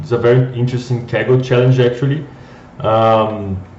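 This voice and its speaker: In a Brazilian accent, a man talks at a medium pitch with monotone, flat intonation and audible room echo. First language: Portuguese. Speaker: data scientist, company co-founder. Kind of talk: live coding tutorial. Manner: halting, many repeated words.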